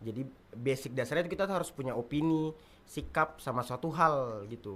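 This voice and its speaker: A man at medium pitch and a fairly quick pace, a normal speaking voice with ordinary pitch variation. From Buton, Southeast Sulawesi (schooled in Makassar). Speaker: stand-up comedian. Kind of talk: podcast interview.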